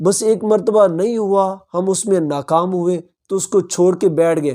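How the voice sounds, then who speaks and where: A man with a high pitch and a dark, mellow tone speaks with ordinary pitch variation. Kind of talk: Islamic motivational talk.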